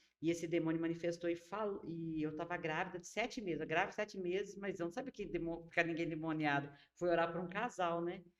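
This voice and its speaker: Speaking at a fairly quick pace with hardly any pauses, a woman uses a normal speaking voice, fairly low in pitch and fairly even in intonation. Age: 60s. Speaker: pastor. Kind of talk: casual chat.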